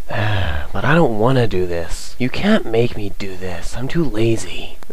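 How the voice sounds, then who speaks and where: A man puts on a whiny character voice, speaking at a fairly slow pace. His loudness stays very even over noticeable background noise. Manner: lazy, unenthusiastic, whiny.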